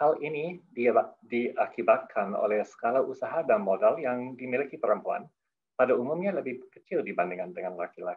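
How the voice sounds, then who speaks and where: A man with a non-native accent at a moderate pace. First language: not Indonesian (speaking Indonesian). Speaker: head of a development program, opening speaker. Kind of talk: formal opening speech. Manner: halting, with self-corrections; formal.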